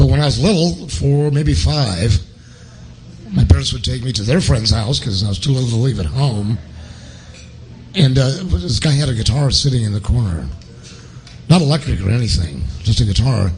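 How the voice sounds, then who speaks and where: With music in the background and audible room echo, a man speaks in an American accent at a medium pitch, using very wide pitch swings and long, frequent pauses. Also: moderate pace. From Portland, Oregon. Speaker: guitarist. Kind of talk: interview. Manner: animated.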